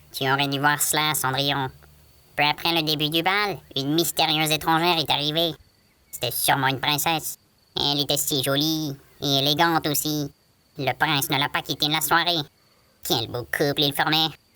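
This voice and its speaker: A man's put-on character voice, fairly high in pitch, at a moderate pace with long, frequent pauses. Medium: read story. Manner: chatty.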